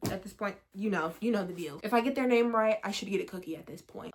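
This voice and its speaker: This woman has an unremarkable speaking voice, sitting at a medium pitch with ordinary pitch variation. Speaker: book youtuber. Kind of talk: casual chat.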